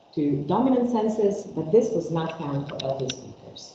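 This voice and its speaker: Noticeable background noise and audible room echo surround a woman. She speaks at a moderate pace with lively intonation. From Croatia. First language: Croatian. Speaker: linguistics researcher. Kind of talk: academic seminar talk. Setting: seminar room with remote audience. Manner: halting, with fillers and self-corrections.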